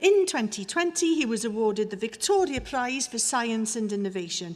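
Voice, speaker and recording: A woman with a Welsh accent, fairly high-pitched, her pitch swinging very widely. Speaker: university orator presenting honorary fellow. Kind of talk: ceremonial citation speech. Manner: formal.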